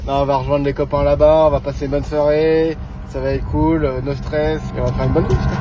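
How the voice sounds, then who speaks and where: A man rattles off his words at a very fast pace, with noticeable background noise behind him. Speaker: motocross rider and vlogger. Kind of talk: vlog narration and casual chat. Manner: casual, joking.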